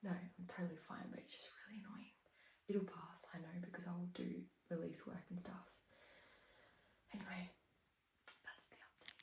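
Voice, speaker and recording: Quiet and somewhat breathy, a woman with an Australian accent speaks in a monotone, flat intonation at a fairly low pitch, with long, frequent pauses and big swings in loudness. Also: moderate pace. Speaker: vlogger, triathlete. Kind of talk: casual vlog.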